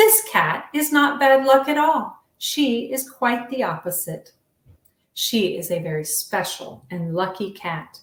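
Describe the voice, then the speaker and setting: Very wide pitch swings in a woman's fairly slow delivery. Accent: American. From US South, Virginia. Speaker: children's book author. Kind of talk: reading aloud.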